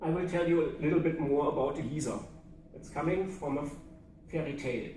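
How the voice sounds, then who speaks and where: The speaker has a German accent and a fairly quick pace. Intonation stays fairly even, with audible room echo. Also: man, fairly high pitch for a man. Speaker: public speaking club member. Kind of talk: prepared speech.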